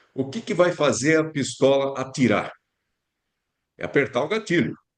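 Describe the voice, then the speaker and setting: A man talks at a moderate pace with fairly high pitch. His is a plain, everyday voice. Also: lively intonation. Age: 60s. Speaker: physician. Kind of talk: casual chat.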